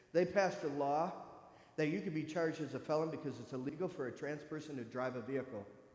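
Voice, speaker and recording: In an American accent, a man talks at a very fast pace and a fairly high pitch. His pitch varies in an ordinary way, and audible room echo surrounds the recording. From US Midwest, northern Michigan. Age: 50s. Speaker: church speaker sharing personal story. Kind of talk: testimony. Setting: church. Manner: animated.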